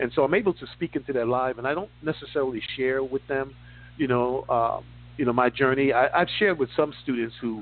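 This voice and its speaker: An ordinary speaking voice moves at a fairly quick pace with ordinary pitch variation. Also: man. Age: 60s. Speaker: finance radio host. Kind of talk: casual interview chat.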